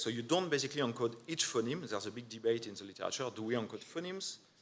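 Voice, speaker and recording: With a non-native accent, a man speaks at a medium pitch. His intonation is lively. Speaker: neuroscience researcher. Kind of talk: conference talk. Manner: hesitant, many fillers.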